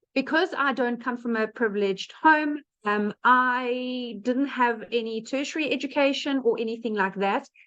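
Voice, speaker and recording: A woman with a South African accent speaks at a fairly slow pace in a high voice, with ordinary variation in pitch. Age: 30s. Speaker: online business presenter. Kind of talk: webinar testimony. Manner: casual with fillers.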